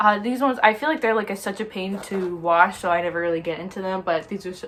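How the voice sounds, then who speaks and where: Noticeable background noise is present throughout. Over it, a woman talks at a very fast pace. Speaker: lifestyle vlogger. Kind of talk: casual chat. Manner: chatty, many fillers.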